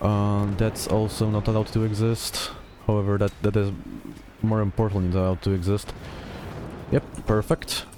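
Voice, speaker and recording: A man's fairly low voice stays monotone and flat at a very even loudness, broken by long, frequent pauses. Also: moderate pace. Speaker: gaming YouTuber. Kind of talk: gameplay commentary. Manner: hesitant fillers, uh and um.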